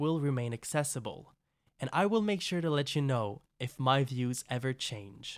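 His delivery is fairly slow. The man's intonation rises and falls in a lively way. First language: French. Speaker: podcast host and writer. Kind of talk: scripted monologue.

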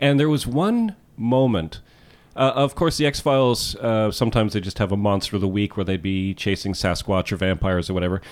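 Here is a man with an unremarkable speaking voice, pitched fairly low. He talks at a fairly quick pace with lively intonation. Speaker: podcast host. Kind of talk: casual chat.

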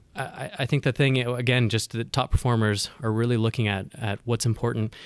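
In a very clean recording with a silent background, a man with an American accent and a medium pitch speaks at a fairly quick pace. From US West, Northern California. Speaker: consultant. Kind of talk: casual interview. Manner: halting, with frequent repetitions.

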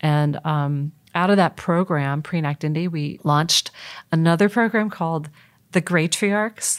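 A woman with a fairly low pitch speaks in an ordinary speaking voice at a fairly slow pace with ordinary pitch variation. The recording is very clean, with a silent background. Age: 50s. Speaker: nonprofit executive director. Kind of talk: interview.

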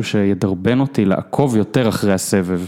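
A man speaks in a dark, mellow tone. His fairly low pitch shows ordinary variation. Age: 30s. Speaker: tennis blogger. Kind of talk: casual chat.

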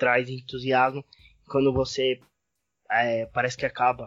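A man talks at a medium pitch. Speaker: guest, basketball fan. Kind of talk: casual chat.

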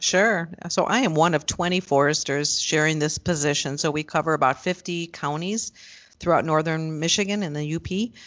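A moderate pace with ordinary pitch variation. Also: woman, very deep, low pitch for a woman. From US Midwest, Chicago suburbs (Skokie). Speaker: forester. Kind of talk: interview conversation.

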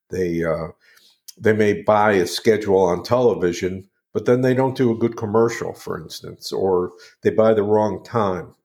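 A man with a Midwestern US accent speaks at a moderate pace and a fairly low pitch with ordinary pitch variation. The recording is very clean with a silent background. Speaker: marketing company owner and radio host. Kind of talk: casual interview. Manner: hesitant, filler-heavy.

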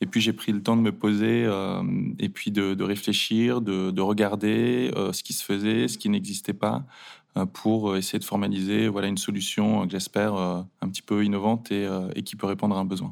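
There is a very clean recording of a man with a silent background. He speaks at a fairly low pitch and moderate pace with ordinary pitch variation. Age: 30s. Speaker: e-commerce founder. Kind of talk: interview. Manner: hesitant, with fillers.

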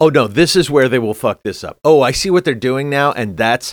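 In a very clean recording with a silent background, a man talks at a moderate pace with lively intonation. He has a plain, everyday voice, and the sound is dry and close with no echo. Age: 50s. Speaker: podcast co-host. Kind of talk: casual chat.

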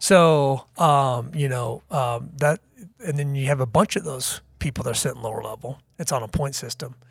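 This man has a fairly high, somewhat breathy voice with a Midwestern American accent. His pace is moderate and his pitch varies in an ordinary way. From US Midwest, Kansas City. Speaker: university athletics director. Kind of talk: interview. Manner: halting, many fillers.

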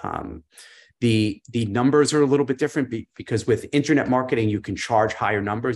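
With an American accent, a man talks at a moderate pace in an unremarkable speaking voice with ordinary pitch variation. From New York. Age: 50s. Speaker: business coach. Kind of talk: casual chat. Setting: live stream.

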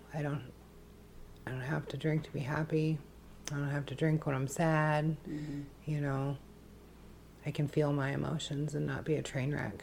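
Speaking in a monotone with long, frequent pauses, a woman with a very deep, low pitch sounds somewhat breathy. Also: moderate pace. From Alaska (Wasilla). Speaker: person in addiction recovery. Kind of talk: testimony.

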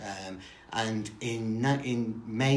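A man talks at a medium pitch, with audible room echo around his voice. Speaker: football historian. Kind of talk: interview.

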